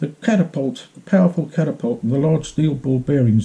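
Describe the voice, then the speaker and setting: A somewhat breathy, dark, mellow tone at a fairly quick pace. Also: man. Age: 70s. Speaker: vlogger telling his own grievance. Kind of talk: personal account, monologue. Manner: repetitive, emphatic.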